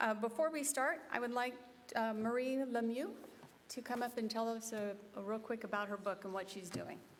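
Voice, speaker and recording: A woman talks at a moderate pace with noticeable background noise. Her pitch is fairly high, with ordinary variation. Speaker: civic association meeting chair. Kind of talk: public meeting chairing.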